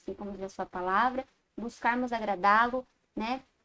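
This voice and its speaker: A woman talks at a moderate pace, her pitch fairly high and her intonation fairly even. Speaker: Sunday school teacher. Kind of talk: Bible class lecture. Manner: halting, self-correcting.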